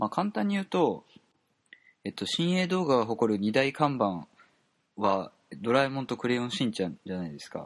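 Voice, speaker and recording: Fast-moving man's speech at a fairly quick pace, medium in pitch, with very wide pitch swings, big swings in loudness and long, frequent pauses, on a very clean recording with a silent background. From Japan, Kobe (Kansai). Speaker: podcast host. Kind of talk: casual monologue. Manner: halting, many fillers.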